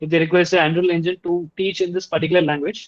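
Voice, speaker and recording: A man speaks with a Tamil accent at a high pitch. The sound is dry and close, with no echo. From India, Tamil-speaking region. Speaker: Unreal Engine instructor. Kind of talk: tutorial presentation. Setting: video call with screen sharing.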